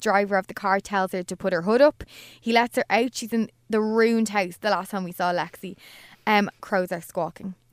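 In a very clean recording with a silent background and a dry, close sound with no echo, a woman speaks at a fairly quick pace in a normal speaking voice. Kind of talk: casual chat, recapping a TV episode.

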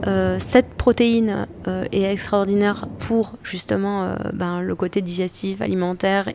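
A woman keeps her intonation fairly even while noticeable background noise sounds behind her. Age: 40s. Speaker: chef and social entrepreneur. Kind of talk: interview.

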